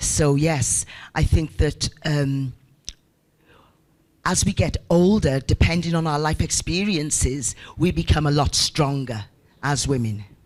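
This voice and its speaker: A woman's very deep, low voice at a fairly slow pace, with ordinary pitch variation and long, frequent pauses. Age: 60s. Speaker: social entrepreneur. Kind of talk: audience comment at panel.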